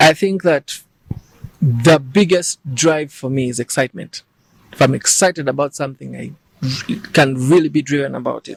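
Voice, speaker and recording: A man's fairly high, somewhat breathy voice, big swings in loudness, long, frequent pauses, and a dry, close sound with no echo. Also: ordinary pitch variation, moderate pace. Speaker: musician and actor. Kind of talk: interview. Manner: soft-spoken.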